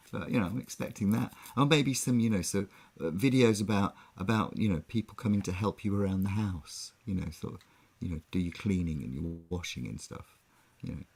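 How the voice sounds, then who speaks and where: A man's fairly low voice with an English accent, lively intonation and a fairly quick pace. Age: 60s. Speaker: online music show co-host. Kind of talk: casual chat.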